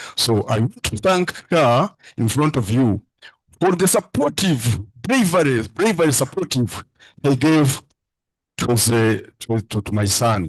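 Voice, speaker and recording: The voice is somewhat breathy, with very wide pitch swings. It moves at a fairly slow pace in a dry, close sound with no echo. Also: man, medium pitch for a man. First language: a Ugandan language. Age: 70s. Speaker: father-in-law of the candidate. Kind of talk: emotional thank-you speech. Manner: halting.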